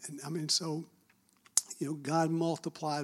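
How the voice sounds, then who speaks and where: With a Southern US accent, a man talks at a fairly slow pace. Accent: Southern US (Georgia). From Marietta, Georgia, US South. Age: 60s. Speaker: church admin team member. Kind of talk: testimony.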